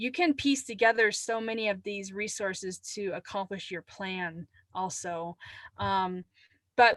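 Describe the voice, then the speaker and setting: A woman with an ordinary speaking voice talks at a fairly slow pace in a medium pitch with ordinary pitch variation, in a dry, close sound with no echo against a quiet background. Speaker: climate adaptation trainer. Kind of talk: webinar presentation.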